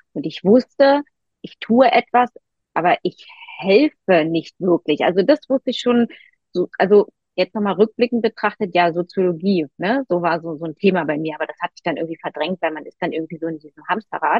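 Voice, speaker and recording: A woman's medium-pitched voice, a normal speaking voice, fairly quick, with lively intonation and big swings in loudness. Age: 40s. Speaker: nutrition counselor and mental coach. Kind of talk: casual interview, personal story.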